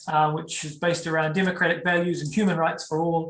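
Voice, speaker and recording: This man speaks with a New Zealand accent. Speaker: tour guide. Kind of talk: online guided tour presentation. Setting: video call. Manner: casual, many fillers.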